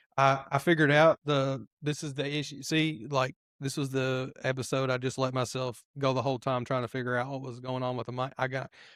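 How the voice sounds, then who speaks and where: Fairly quick, monotone speech with flat intonation and hardly any pauses, in a dry, close sound with no echo. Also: man, medium pitch for a man. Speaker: podcast host. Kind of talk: casual chat. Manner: loud.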